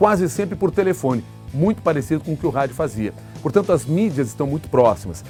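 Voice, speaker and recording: A man speaks at a fairly quick pace and a fairly high pitch, with very wide pitch swings. Music plays in the background. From Brazil, Rio Grande do Sul. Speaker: radio journalist and news anchor. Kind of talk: interview answer. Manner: clear, fluent, radio-trained delivery.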